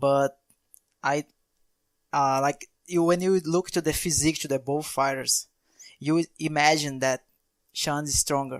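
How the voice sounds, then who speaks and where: A man with a Brazilian accent talks at a fairly slow pace, leaving long, frequent pauses. His fairly high voice is monotone and flat, recorded with a dry, close sound and no echo. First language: Portuguese. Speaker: podcast co-host. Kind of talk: casual chat. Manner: halting.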